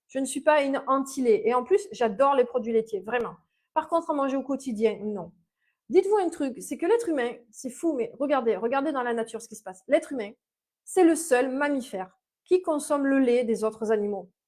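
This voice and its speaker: The loudness swings widely throughout. Speech moves at a fairly quick pace with lively intonation. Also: woman. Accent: Mediterranean. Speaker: naturopath. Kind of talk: live-stream talk. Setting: live video stream. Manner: hesitant, many fillers.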